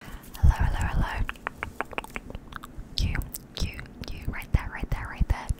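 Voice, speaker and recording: A woman whispering, with long, frequent pauses. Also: moderate pace. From London. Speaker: ASMR artist. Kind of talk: ASMR personal attention roleplay. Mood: caring, affirming. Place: home room. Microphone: studio mic.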